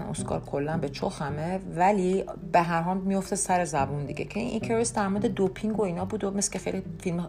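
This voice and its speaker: A medium-pitched woman's voice at a fairly quick pace, with ordinary pitch variation and noticeable background noise. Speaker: podcast host. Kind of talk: casual monologue. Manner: conversational with many fillers.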